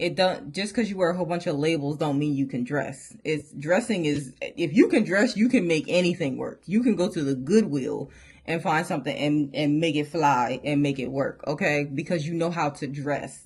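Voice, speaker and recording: Against a quiet background, a woman with a very deep, low pitch sounds somewhat breathy and animated, with hardly any pauses. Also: lively intonation. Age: 30s. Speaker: fashion YouTuber. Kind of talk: casual haul video chat. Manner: fast.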